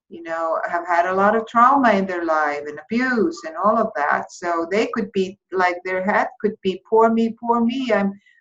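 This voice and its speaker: A woman speaks with an Icelandic accent. Her intonation is lively. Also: medium pitch for a woman, moderate pace. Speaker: therapy course instructor. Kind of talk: lecture. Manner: halting.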